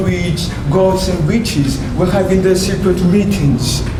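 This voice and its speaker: A man talks at a fairly slow pace in a high pitch. Noticeable background noise runs behind him. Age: 20s. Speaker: storyteller. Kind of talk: dramatic storytelling performance for an audience. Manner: clear delivery.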